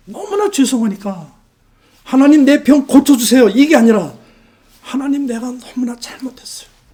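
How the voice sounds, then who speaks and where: A man's extremely high pitch at a moderate pace, with lively intonation and big swings in loudness. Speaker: missionary pastor. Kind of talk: testimony sermon.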